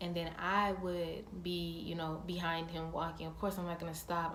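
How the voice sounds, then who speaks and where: There is noticeable background noise as a woman talks at a fairly quick pace. Her pitch is fairly low and her intonation flat and monotone. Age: young. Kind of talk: casual storytime talk to camera.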